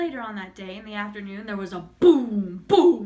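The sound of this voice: Lively intonation in an unforced reading voice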